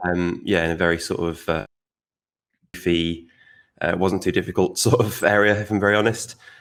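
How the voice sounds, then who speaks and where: Very deep, low pitch from a man with a Manchester accent, at a fairly quick pace with long, frequent pauses and fairly even intonation. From northern England, Stockport (South Manchester). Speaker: designer. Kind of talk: podcast interview.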